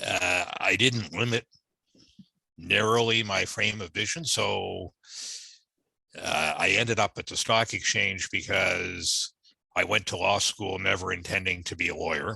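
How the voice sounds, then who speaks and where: In a Canadian accent, a man with a fairly low pitch and a bright, sharp tone talks at a fairly slow pace, with ordinary pitch variation and long, frequent pauses. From Canada, Toronto area (born in Norfolk, Virginia). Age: 60s. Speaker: retired corporate lawyer. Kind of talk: interview.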